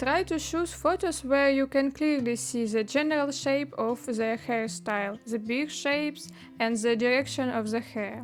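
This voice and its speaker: A woman's high-pitched voice with a non-native accent, lively intonation and a fairly slow pace. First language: not English. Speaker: 3D artist. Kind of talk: tutorial. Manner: hesitant with fillers.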